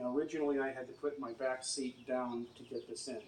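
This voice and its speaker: A man speaks at a medium pitch. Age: 60s. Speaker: e-bike owner demonstrating a DIY method. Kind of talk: tutorial.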